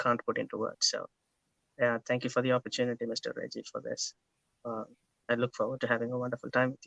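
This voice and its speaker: The sound of this man with an Indian accent is dry and close with no echo. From India, Kerala. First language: Malayalam. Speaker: interview guest. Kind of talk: interview.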